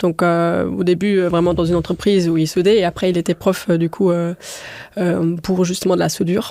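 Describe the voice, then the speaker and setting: A woman at a moderate pace. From Luxembourg, countryside. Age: 20s. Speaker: restaurant co-owner. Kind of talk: interview conversation. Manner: hesitant, many fillers.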